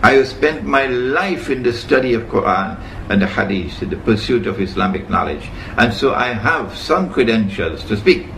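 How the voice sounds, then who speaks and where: There is noticeable background noise and audible room echo. A man talks at a moderate pace and medium pitch with very wide pitch swings. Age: 70s. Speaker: Islamic scholar. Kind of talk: lecture.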